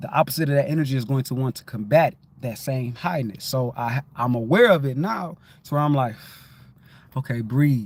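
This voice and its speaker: Talking at a fairly quick pace, a man uses ordinary pitch variation. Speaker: livestream host. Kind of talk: casual livestream talk. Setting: livestream. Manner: fast; high-energy.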